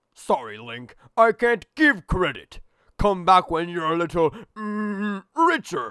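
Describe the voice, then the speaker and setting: A man's put-on character voice, raised and projected, high-pitched and fairly slow, on a very clean recording with a silent background. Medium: dub. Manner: drawn-out hesitation.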